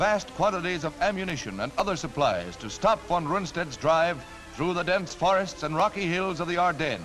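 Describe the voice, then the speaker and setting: A man with an American accent speaks at a high pitch and moderate pace. His intonation is lively, with clear music in the background. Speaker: newsreel narrator. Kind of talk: newsreel narration. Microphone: old recording.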